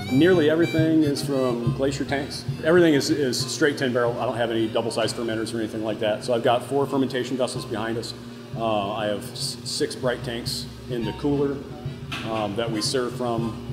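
Clear music plays in the background. A man speaks over it at a fairly quick pace. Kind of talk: interview answer. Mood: relaxed, enthusiastic. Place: factory.

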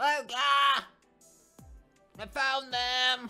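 Put-on character voice, high-pitched and monotone with flat intonation, faint music in the background. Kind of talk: reading comic dialogue aloud in a review. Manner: put-on voice, self-judged as not quite right.

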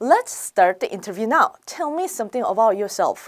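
This woman's voice sits fairly high and swings very widely in pitch. The recording is very clean, with a silent background. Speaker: English speaking test instructor. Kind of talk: lecture.

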